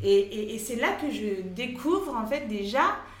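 Speaking at a very slow pace, a woman with a fairly high pitch uses lively intonation amid noticeable background noise and audible room echo. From Paris, France. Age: 30s. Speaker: travel blogger and mother. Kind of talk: interview. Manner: hesitant, many fillers.

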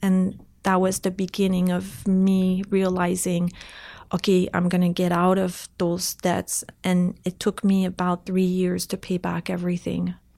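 In a very clean recording with a silent background, a woman with a French Canadian accent speaks at a medium pitch and a fairly slow pace, her tone dark and mellow and her intonation monotone and flat. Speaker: entrepreneur, website co-founder. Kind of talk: interview.

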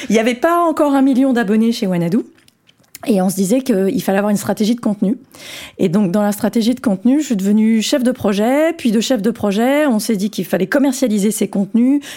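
At a fairly quick pace, a woman with a fairly high pitch and a dark, mellow tone keeps her loudness very even, with ordinary pitch variation. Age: 40s. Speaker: tech company executive. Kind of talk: interview. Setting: office.

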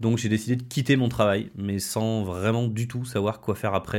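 A man with an ordinary speaking voice talks at a medium pitch and a fairly quick pace, with fairly even intonation. The recording is very clean, with a silent background. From France, Haute-Loire. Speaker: nutrition and wellness coach. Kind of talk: podcast monologue. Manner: casual, with frequent fillers.

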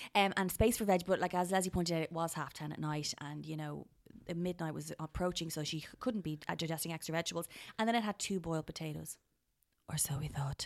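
In an Irish accent, a woman speaks at a very fast pace in a fairly low pitch with ordinary pitch variation. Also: very clean recording, silent background. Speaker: podcast co-host, food reviewer. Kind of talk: casual chat. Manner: animated.

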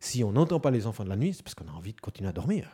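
A man with a Swiss accent speaks in a dark, mellow, somewhat breathy tone. The recording is very clean, with a silent background. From Switzerland, canton of Neuchâtel. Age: 40s. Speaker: stay-at-home father. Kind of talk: interview testimony.

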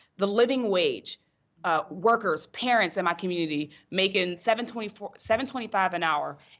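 A woman with an American accent has a plain, everyday voice, speaking at a medium pitch and a fairly quick pace with lively intonation. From western Pennsylvania, North Braddock near Pittsburgh. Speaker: political candidate. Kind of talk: interview.

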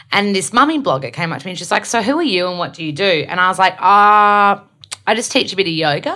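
A woman talks at a fast pace with lively intonation, a medium pitch, and a bright, sharp, husky tone.

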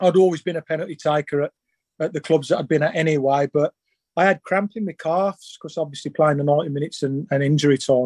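A man with a Birmingham accent talks at a very fast pace, his pitch fairly high and his intonation fairly even. The sound is dry and close with no echo. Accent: Birmingham (Brummie). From England, Birmingham. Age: 40s. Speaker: former footballer. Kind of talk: casual chat.

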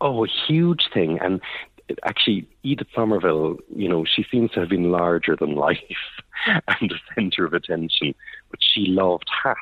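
A man with a very deep, low pitch speaks at a moderate pace with lively intonation. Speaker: art historian, gallery lecturer. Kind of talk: informal interview. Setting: art gallery, phone call.

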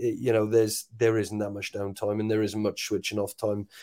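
Against a silent background in a very clean recording, a man with a Welsh accent speaks at a medium pitch in a dark, mellow tone with monotone, flat intonation. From Wales. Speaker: rugby sevens coach. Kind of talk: interview. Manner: halting, many repeated words.

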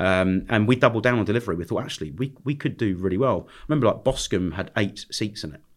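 A man with a London accent talks at a very fast pace with hardly any pauses, his fairly low voice full of lively intonation and big swings in loudness. The recording is very clean, with a silent background. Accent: southern English (London). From London, England. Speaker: restaurant and nightclub entrepreneur. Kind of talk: podcast interview. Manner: casual, hesitant with fillers.

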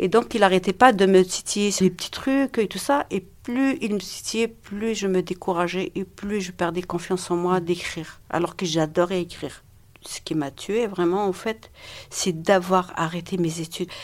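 A woman talks at a fairly slow pace. Her pitch sits in the medium range, with ordinary variation. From Algeria. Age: 50s. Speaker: domestic violence survivor. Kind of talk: testimony. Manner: halting.

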